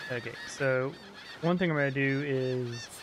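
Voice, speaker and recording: A man talks at a mid-range pitch over clearly audible background noise. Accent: American. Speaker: video game streamer. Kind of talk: live game stream commentary. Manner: casual, hesitant with fillers.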